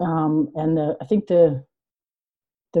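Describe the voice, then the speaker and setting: In a Canadian accent, a woman speaks with a very deep, low pitch. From Yukon, Canada. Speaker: writer and storyteller. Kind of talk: casual chat.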